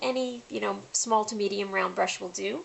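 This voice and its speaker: A soft-spoken woman talks at a fairly slow pace with a fairly high pitch. Noticeable background noise is present. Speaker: face painting artist and tutorial host. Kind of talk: tutorial. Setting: home, late at night. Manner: soft-spoken, quiet.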